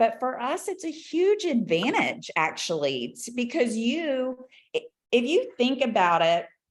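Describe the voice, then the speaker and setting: Her pitch swings very widely as this woman speaks at a fairly slow pace. The recording is very clean, with a silent background. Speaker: business consultant and trainer. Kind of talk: training presentation.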